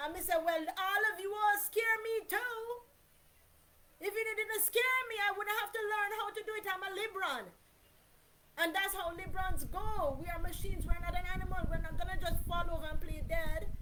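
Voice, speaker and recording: A woman's voice is raised and projected at an extremely high pitch. Her intonation is lively. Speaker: vlogger. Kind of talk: personal monologue. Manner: loud.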